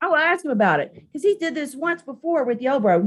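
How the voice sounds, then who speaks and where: With a Southern Appalachian accent, a woman talks at a fairly quick pace, her tone animated and her intonation lively. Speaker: live streamer, political commentator. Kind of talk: casual live stream rant.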